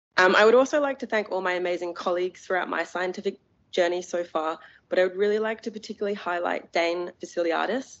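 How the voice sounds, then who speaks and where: Pitch varies in an ordinary way as the words come at a very fast speed. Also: woman. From UK. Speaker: cancer researcher, award recipient. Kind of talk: award acceptance speech. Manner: many filler ums.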